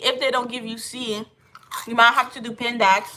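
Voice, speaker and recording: A woman's high-pitched voice with ordinary pitch variation at a moderate pace. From Haiti. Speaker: livestreamer. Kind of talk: casual livestream chat.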